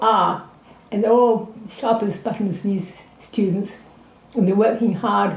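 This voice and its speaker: A woman talks at a moderate pace with fairly even intonation. The room echo is audible. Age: 80s+. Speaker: anthropologist and teacher. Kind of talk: interview. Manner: halting.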